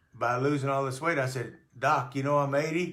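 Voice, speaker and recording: A bright, sharp tone with fairly even intonation and audible room echo. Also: man. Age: 80s+. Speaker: weight-loss customer sharing testimonial. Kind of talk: testimony. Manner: halting, with repetitions.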